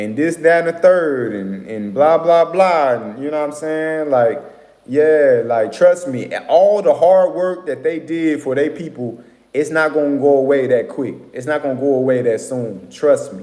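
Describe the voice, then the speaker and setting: A man talks at a fairly slow pace in a fairly high voice, dark and mellow in tone. His pitch varies in an ordinary way while his loudness swings widely. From Atlanta, Georgia, US. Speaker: livestream host. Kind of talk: casual livestream talk. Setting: live stream with viewers.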